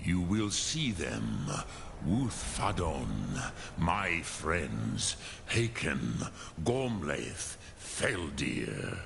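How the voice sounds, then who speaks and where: A put-on character voice moves at a very slow pace over clear background noise. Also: man, very deep, low pitch for a man. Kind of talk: epic fantasy game voice acting. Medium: video game. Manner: slow, solemn, measured, sprinkled with dragon words.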